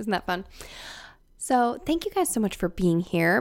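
Very wide pitch swings carry through a very clean recording with a silent background. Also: woman. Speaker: podcast host. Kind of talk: casual podcast monologue. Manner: quiet.

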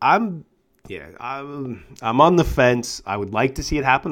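A man with a normal speaking voice on a very clean recording against a silent background. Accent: American. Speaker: podcast host. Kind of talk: casual chat.

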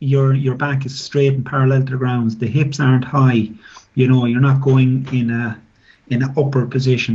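In an Irish Midlands accent, the speaker talks at a moderate pace in a somewhat breathy, monotone, flat way, with audible room echo. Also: man. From Ireland, Midlands (County Offaly). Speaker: former professional rugby player and scrum coach. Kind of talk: interview. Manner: halting, many fillers.

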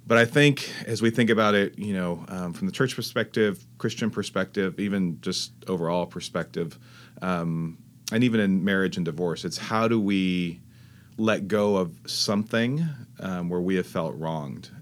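Speaking in a Californian accent at a moderate pace, a man has a very deep, low pitch with ordinary pitch variation. The recording is very clean, with a silent background. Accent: General American (Californian). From California (Fresno). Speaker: pastor. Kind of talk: interview.

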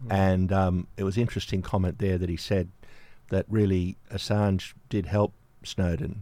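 On a very clean recording with a silent background, a man with an Australian accent speaks at a moderate pace in a very deep, low pitch, with a dark, mellow tone, very even loudness and fairly even intonation. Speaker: community radio presenter. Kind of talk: radio interview and news coverage.

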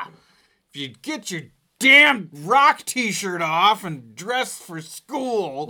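Using a put-on character voice, a man goes very slowly at a high pitch with very wide pitch swings and big swings in loudness, in a very clean recording with a silent background. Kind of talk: stern, parental.

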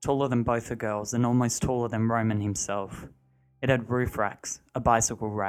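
This unforced reading voice keeps its intonation fairly even.

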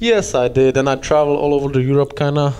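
A man with a Czech accent, fairly high in pitch, at a fairly quick pace. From Czech Republic. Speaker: hockey player. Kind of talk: casual chat. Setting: locker room.

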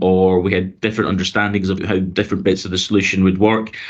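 This is a man speaking. He talks with a Glaswegian accent. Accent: Glaswegian Scottish. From Glasgow, Scotland. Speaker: transport authority consultation lead. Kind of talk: casual interview. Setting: video call.

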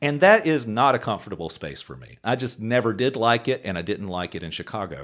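With an ordinary speaking voice, a man with an American accent speaks at a fairly quick pace and medium pitch with lively intonation, on a very clean recording with a silent background. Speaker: podcast co-host in recovery. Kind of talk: casual chat.

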